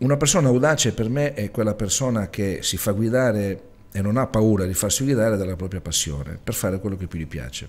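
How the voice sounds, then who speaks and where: With an ordinary speaking voice, a man talks at a fairly quick pace, fairly low in pitch with lively intonation. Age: 40s. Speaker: web TV producer and interviewer; interviewer. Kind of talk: TV interview. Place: studio. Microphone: studio mic.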